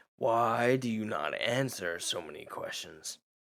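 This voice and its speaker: A man puts on a character voice that is raspy with a medium pitch. He speaks at a fairly slow pace. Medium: actual play. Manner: cryptic, answers questions with questions.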